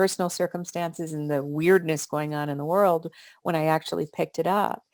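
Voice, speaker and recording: A woman uses a normal speaking voice, fairly low in pitch, at a moderate pace with fairly even intonation. The sound is dry and close with no echo, in a very clean recording with a silent background. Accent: American. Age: 60s. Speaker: author. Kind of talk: interview.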